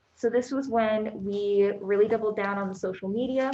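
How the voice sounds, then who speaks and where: A soft-spoken woman at a fairly quick pace, with fairly even intonation. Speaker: library staff member. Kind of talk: meeting report. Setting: board meeting room, hybrid in-person and online.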